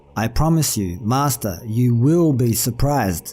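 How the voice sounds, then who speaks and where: Using a put-on character voice, a man speaks at medium pitch and a moderate pace. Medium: read story. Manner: calm, respectful, gently persistent.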